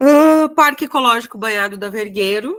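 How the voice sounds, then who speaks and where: A woman uses lively intonation while speaking at a fairly slow pace. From Rio Grande do Sul, Brazil (Passo Fundo). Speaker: exam prep teacher. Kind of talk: online lecture. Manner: casual, hesitant.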